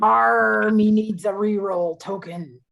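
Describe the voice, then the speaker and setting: A put-on character voice at a fairly slow pace. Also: female-sounding voice, medium pitch for a woman. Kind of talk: pirate speech.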